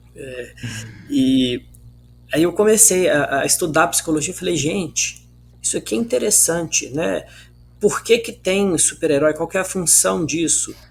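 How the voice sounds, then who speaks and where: A man with a high voice speaks at a fairly slow pace, leaving long, frequent pauses. His intonation is lively, and the recording is very clean with a silent background. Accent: Minas Gerais. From Minas Gerais, Brazil. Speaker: author and psychologist. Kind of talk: casual interview chat. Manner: halting.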